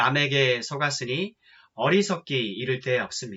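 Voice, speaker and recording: A man with an unremarkable speaking voice, pitched fairly high. His pitch varies in an ordinary way. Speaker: pastor. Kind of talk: scripture reading.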